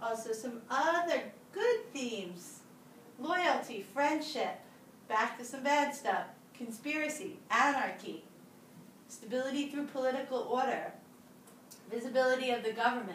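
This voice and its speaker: A woman speaks with a high pitch at a fairly slow pace, her pitch varying in an ordinary way. Long pauses come often, with noticeable background noise and audible echo from the room. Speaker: teacher. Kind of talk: lecture. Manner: animated.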